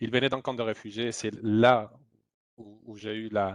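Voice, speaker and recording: Monotone and flat, a man with a Spanish accent speaks at medium pitch. The sound is dry and close, with no echo. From Spain. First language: Spanish (speaking French). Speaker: humanitarian aid worker. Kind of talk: testimony. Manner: halting, many repetitions.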